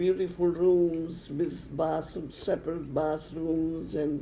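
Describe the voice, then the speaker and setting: A woman speaks at a very slow pace in a fairly low pitch. Her intonation stays monotone and flat. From Czechoslovakia. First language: not English. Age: old. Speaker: Holocaust survivor. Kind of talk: interview answer. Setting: home recording.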